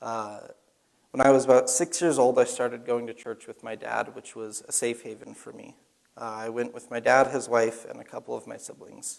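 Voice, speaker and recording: A man with an American accent speaks at medium pitch in a plain, everyday voice. His pace is moderate and his intonation fairly even. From Arizona, US. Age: 20s. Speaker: Bible college student. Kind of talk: testimony.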